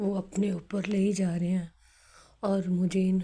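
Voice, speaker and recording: A woman speaks in a monotone, flat intonation at medium pitch. Her tone is dark and mellow, and somewhat breathy. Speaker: devotee sharing testimony. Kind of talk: devotional testimony. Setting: recorded at home at evening.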